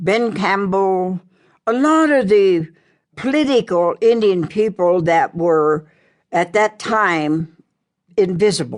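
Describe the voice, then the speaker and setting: At a very slow pace, a woman with an American accent speaks at medium pitch with lively intonation over a quiet background. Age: 80s+. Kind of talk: memoir audiobook narration.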